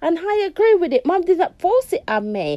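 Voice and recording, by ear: At a moderate pace, a woman speaks with a dark, mellow tone.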